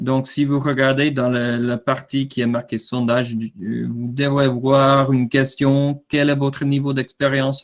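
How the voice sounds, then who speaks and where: At a fairly slow pace, a man with an American accent speaks at medium pitch in a monotone, flat intonation. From USA. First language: English (speaking French). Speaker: drone product manager. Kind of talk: webinar presentation. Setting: online webinar. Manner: halting, many fillers and repetitions.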